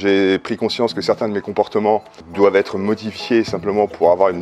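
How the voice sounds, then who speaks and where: Over music in the background, a man talks fairly quickly in a fairly low pitch. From France, Paris. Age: 50s. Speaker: seminar participant. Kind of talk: testimony. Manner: halting, many hesitations.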